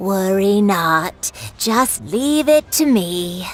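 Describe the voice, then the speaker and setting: A woman's put-on character voice at a very slow pace, with very wide pitch swings and faint music in the background. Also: medium pitch for a woman. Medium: video game. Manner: weary, matter-of-fact.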